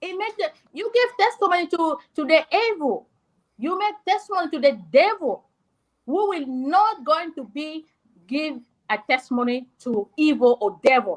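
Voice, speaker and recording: A woman's high-pitched voice at a moderate pace, with very wide pitch swings. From South Sudan. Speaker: discussion participant. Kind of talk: heated debate. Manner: loud.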